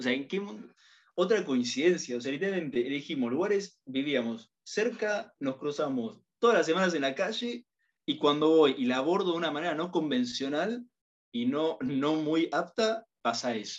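A normal speaking voice with lively intonation, at a moderate pace. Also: man, fairly high pitch for a man. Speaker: university student. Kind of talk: casual chat.

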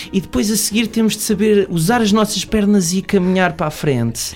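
Music plays in the background as the speaker goes at a fairly quick pace with ordinary pitch variation. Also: man. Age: 20s. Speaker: podcaster and film production assistant. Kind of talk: casual chat.

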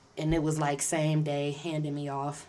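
In a room with audible echo, a woman with a very deep, low pitch and a dark, mellow tone speaks at a fairly slow pace. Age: 30s. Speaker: podcaster, returning guest. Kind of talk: casual chat.

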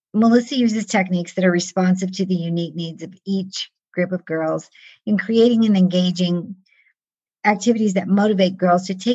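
A somewhat breathy woman's voice at a medium pitch, moderate pace and fairly even intonation. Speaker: life and stress management coach and podcast host. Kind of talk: interview podcast. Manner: talkative.

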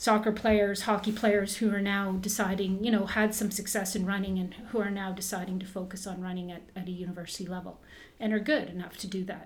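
A woman speaks in a Canadian accent with a somewhat breathy voice at medium pitch. Her intonation is monotone and flat, with hardly any pauses. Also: fairly quick pace, big swings in loudness. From Canada, Southern Ontario (Burlington); born in northern Ontario. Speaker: former Olympic runner, running coach and shoe shop owner. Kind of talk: casual interview.

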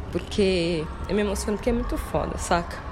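A woman's voice, with ordinary pitch variation, comes through noticeable background noise. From São Paulo city, Brazil. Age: 30s. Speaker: dancer and arts educator. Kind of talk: interview.

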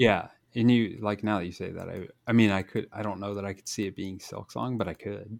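Speaking in a plain, everyday voice, a man with fairly low pitch talks at a fairly quick pace, his intonation fairly even but his loudness swinging widely, in a very clean recording with a silent background. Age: 40s. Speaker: gaming podcast host. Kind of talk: casual chat.

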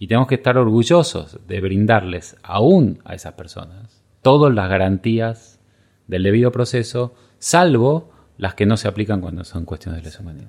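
Against a silent background in a very clean recording, a man speaks with a fairly low pitch at a moderate pace. His intonation is lively, with big swings in loudness. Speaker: legal scholar. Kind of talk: interview. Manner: halting.

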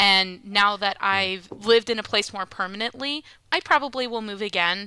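A woman's bright, sharp voice at medium pitch, with fairly even intonation and a fairly quick pace. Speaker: podcast host. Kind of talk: casual chat.

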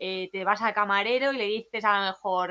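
A woman with a Valencian accent, medium pitch, ordinary pitch variation, and a bright, sharp tone, in a very clean recording with a silent background. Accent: Peninsular Spanish (Alicante). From Spain, Alicante. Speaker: backpacker. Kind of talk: casual chat. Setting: room with open door, weak internet.

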